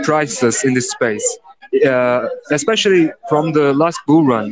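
This man, with a Turkish accent and a fairly high pitch, talks at a fairly slow pace with lively intonation. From Turkey. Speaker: host of crypto NFT audio space. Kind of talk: casual chat. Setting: audio call away from home.

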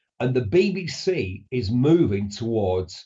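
With a northern English accent, a man speaks at a medium pitch, somewhat breathy, his pitch swinging very widely. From northern England. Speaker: motoring journalist and broadcaster. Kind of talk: radio interview.

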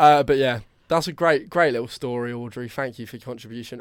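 A man speaks with a southern English accent at a very fast pace. The recording is very clean, with a silent background. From southern England, Brighton. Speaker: podcast co-host. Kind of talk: casual chat.

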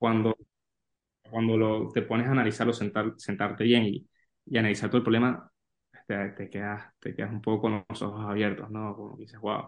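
At a fairly quick pace, a man talks in a fairly low, flat monotone, with big swings in loudness. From Venezuela. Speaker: sports business analyst. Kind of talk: interview. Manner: halting, many repeated words.

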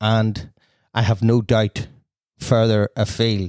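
A man with a Northern Irish accent speaks at a very slow pace in a fairly low voice, recorded very cleanly against a silent background with a dry, close sound and no echo. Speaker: podcast host and wedding DJ. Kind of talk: casual interview chat.

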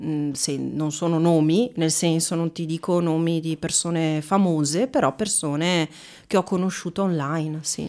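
A woman's dark, mellow voice at a fairly slow pace, with ordinary pitch variation, on a very clean recording with a silent background. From Veneto, Italy. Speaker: actress and trainer. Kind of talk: casual interview chat.

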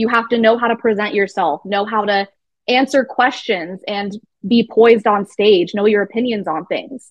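Speaking at a moderate pace with an American accent, a woman has an ordinary speaking voice, fairly high in pitch, with ordinary pitch variation. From Arizona. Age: 20s. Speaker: pageant titleholder. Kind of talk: interview.

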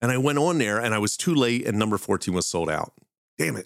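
A man with a Philadelphia accent talks at a very fast pace with a medium pitch. The recording is very clean with a silent background. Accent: Philadelphia accent, noticeable. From Philadelphia, US. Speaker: podcast host, pop culture demonology. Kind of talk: casual storytelling podcast.

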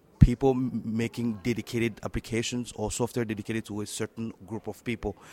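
A man speaks with a French accent in a monotone, flat delivery. The audio is dry and close, without echo. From Democratic Republic of the Congo. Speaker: tech entrepreneur and software developer. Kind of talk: interview. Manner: halting, hesitant with many fillers.

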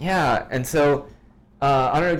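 A man with an American accent talks at a moderate pace and medium pitch, with ordinary pitch variation. He has a normal speaking voice. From US, Washington DC suburbs. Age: 30s. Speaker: musician and photographer. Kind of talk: casual chat.

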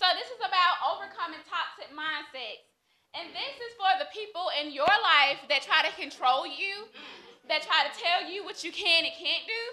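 At an extremely high pitch, a woman projects her raised voice at a moderate pace. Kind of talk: reading a prepared motivational speech. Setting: live stage with audience.

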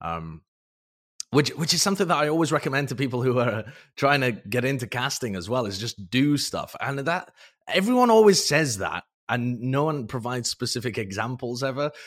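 Here a man speaks with a British accent. His intonation is lively and his pace fairly quick. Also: medium pitch for a man, very clean recording, silent background. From Britain. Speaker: esports caster and analyst. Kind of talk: casual interview chat.

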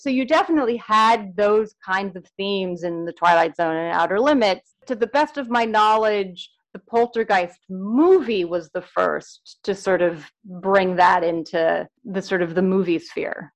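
Using an ordinary speaking voice at a medium pitch, a woman talks at a fairly slow pace with ordinary pitch variation and hardly any pauses. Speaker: author and film scholar. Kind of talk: casual interview.

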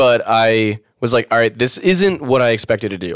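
A man speaks at a moderate pace with lively intonation, an unremarkable speaking voice at medium pitch, and a dry, close sound with no echo. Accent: American. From Maryland, US. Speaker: rocket engineer. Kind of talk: casual chat.

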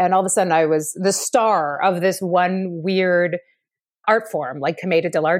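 A normal speaking voice with a Canadian accent moves at a moderate pace with ordinary pitch variation. The recording is very clean, with a silent background. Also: woman. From Ottawa, Canada. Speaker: theatre director and actor. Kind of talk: interview.

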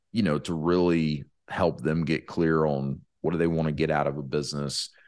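Against a quiet background, a man with a very deep, low voice speaks in fairly even intonation. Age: 30s. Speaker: podcast host and franchise consultant. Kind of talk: casual solo monologue. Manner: casual with many fillers.

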